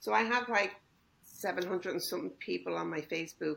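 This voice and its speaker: Talking at a fairly quick pace, a woman has a fairly low pitch and vocal fry. Her tone is bright and sharp. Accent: American. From Ireland. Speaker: home baker. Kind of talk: interview.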